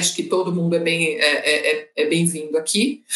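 Her voice is plain and everyday, fairly low in pitch for a woman. She speaks at a moderate pace. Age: 30s. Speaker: consulting project manager. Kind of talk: panel discussion.

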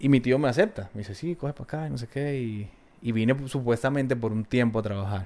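Speaking at a very fast pace, the voice has a dark, mellow tone, ordinary pitch variation and big swings in loudness. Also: man, medium pitch for a man. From Colombia, Valle del Cauca. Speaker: guest sharing life story. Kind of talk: interview. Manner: halting, repeated words.

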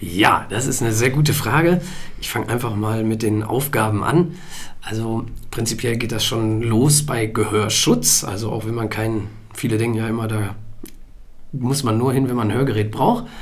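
Amid noticeable background noise and audible room echo, a man talks at medium pitch and a moderate pace with ordinary pitch variation. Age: 30s. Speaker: hearing aid acoustician. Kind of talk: interview. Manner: hesitant fillers.

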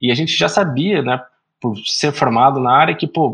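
A man speaks in an ordinary speaking voice at medium pitch. He goes at a fairly slow pace against a quiet background. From Brazil, interior of São Paulo state (Araraquara). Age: 30s. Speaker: startup founder and CEO. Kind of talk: podcast interview.

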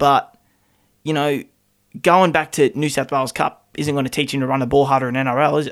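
A man with an Australian accent talks at a fairly quick pace in a fairly high pitch. His intonation is monotone and flat, and the recording is very clean with a silent background. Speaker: sports podcast co-host. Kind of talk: casual chat.

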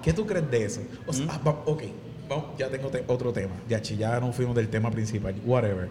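A man with a Puerto Rican accent at a medium pitch, his fairly quick delivery carrying ordinary pitch variation, with noticeable background noise and audible room echo. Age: 20s. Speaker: podcast host and singer. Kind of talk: casual chat. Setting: pizzeria.

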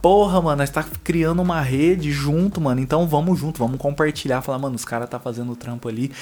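A man's fairly high voice at a very fast pace. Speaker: podcast co-host, coffee entrepreneur. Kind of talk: casual chat. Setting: home studio room. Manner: animated.

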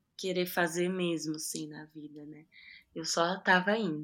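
On a very clean recording with a silent background, a woman speaks in a normal speaking voice. Her pitch is medium, her pace fairly slow and her intonation fairly even. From Ferraz de Vasconcelos, São Paulo state, Brazil. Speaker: drummer and singer. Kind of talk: interview.

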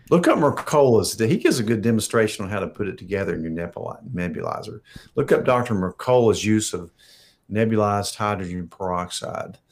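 A man with a fairly low pitch has an unremarkable speaking voice. He talks at a fairly quick pace with ordinary pitch variation. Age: 60s. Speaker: physician. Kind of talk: live Q&A.

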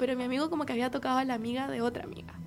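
A woman with a Chilean accent and a high pitch. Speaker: friend of the host. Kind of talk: casual chat.

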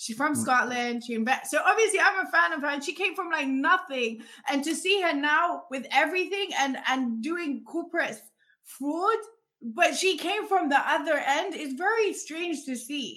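A woman projects a raised voice at an extremely high pitch, with lively intonation. Her tone is animated, bright and sharp. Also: moderate pace. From Africa, raised; lived in London. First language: not English. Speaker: podcast host. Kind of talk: casual interview.

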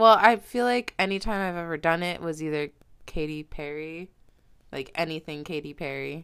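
A woman with an ordinary speaking voice talks at a moderate pace, her pitch fairly low with ordinary variation. Her loudness swings widely in a very clean recording with a silent background. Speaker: podcast co-host. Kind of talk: casual chat. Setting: home.

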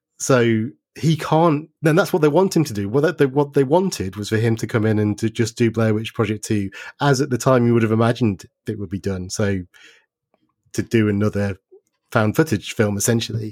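A man speaks with lively intonation in a very clean recording with a silent background and a dry, close sound with no echo. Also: medium pitch for a man. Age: 40s. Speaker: podcast host and horror author. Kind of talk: casual chat. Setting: recording while isolating in son's bedroom. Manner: halting, many repeated words.

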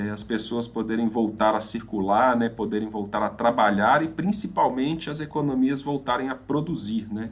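This is a plain, everyday voice at a moderate pace with ordinary pitch variation. There are hardly any pauses. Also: man, medium pitch for a man. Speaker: financial advisor. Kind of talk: podcast interview.

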